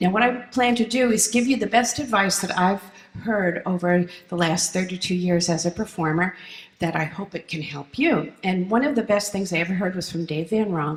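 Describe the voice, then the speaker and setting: With noticeable background noise, a woman speaks at a moderate pace and medium pitch, her pitch varying in an ordinary way. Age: 60s. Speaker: folk singer-songwriter. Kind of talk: keynote speech.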